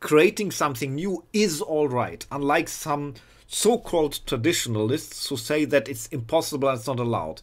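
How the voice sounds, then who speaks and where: Fairly high pitch from a man with a non-native accent, lively intonation and a moderate pace, on a very clean recording with a silent background. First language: not English. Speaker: video blogger. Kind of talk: rant. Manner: halting, repeats words.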